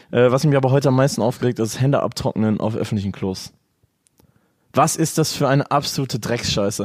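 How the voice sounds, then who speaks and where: A man with a plain, everyday voice and medium pitch talks at a fairly quick pace with ordinary pitch variation, in a very clean recording with a silent background. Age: 20s. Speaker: podcast guest. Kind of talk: casual chat.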